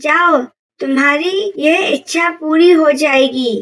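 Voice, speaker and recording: A woman's cartoonish character voice, high-pitched and at a very slow pace. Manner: authoritative, moralizing.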